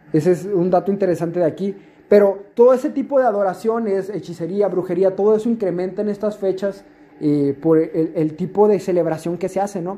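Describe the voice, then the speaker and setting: With ordinary pitch variation, a man's high voice runs at a fairly quick pace. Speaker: youth preacher. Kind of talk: sermon. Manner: halting, many fillers.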